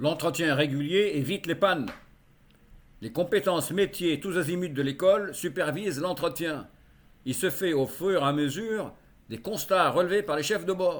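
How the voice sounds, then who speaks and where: The speaker goes at a fairly slow pace, with long, frequent pauses. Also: man, high pitch for a man, ordinary pitch variation. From Egypt. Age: 70s. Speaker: martial arts practitioner and sailor. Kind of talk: personal documentary narration.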